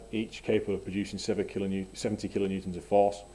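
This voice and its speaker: A man speaks in a northern English accent at a fairly low pitch. His tone is dark and mellow. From northwest England. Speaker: engineer presenting a project. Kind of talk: technical presentation. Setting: seminar.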